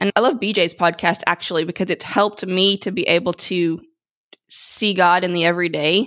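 A woman's unremarkable speaking voice, medium in pitch and fairly even in intonation, at a fairly quick pace on a very clean recording with a silent background. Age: 40s. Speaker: educator and author. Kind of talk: interview conversation.

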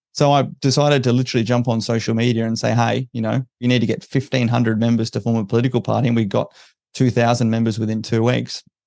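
Over a quiet background, a man with an Australian accent speaks at a very fast pace, his medium pitch flat and monotone and his tone dark and mellow. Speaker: special forces veteran and political party founder. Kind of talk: interview.

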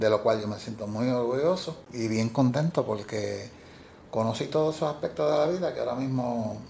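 Someone speaks in a Puerto Rican accent at a moderate pace. The pitch varies in an ordinary way. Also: man, medium pitch for a man. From Puerto Rico, Ciales. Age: 70s. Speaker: retiree working part-time. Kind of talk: interview. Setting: office.

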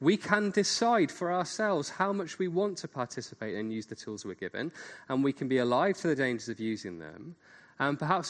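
A man talks very fast, with very wide pitch swings and big swings in loudness. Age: 40s. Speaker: seminar speaker. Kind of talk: lecture.

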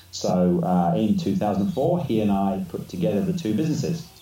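His pitch rises and falls over a very wide range. The man has an English accent. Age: 50s. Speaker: business consultant. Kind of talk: casual interview. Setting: video call.

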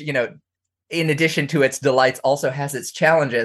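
Speaking at a fairly quick pace, a man has an unremarkable speaking voice. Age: 30s. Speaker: author and scholar. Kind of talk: interview.

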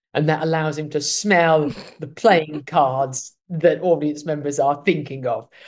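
In an English accent, a man talks fairly slowly, his fairly high pitch held to a fairly even intonation. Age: 30s. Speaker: comedic actor and playwright. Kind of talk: interview. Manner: halting.

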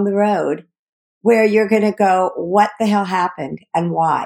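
An unremarkable speaking voice is heard. It moves at a fairly slow pace. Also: woman. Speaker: podcast co-host, former care partner. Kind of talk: scripted intro and casual chat. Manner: candid, conversational.

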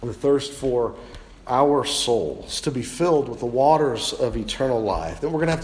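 Reading aloud in a natural voice, with pitch rising and falling in an ordinary way

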